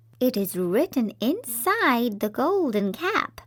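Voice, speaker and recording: A woman puts on a character voice. She pitches it high. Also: fairly slow pace. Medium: read story. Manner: brisk, helpful.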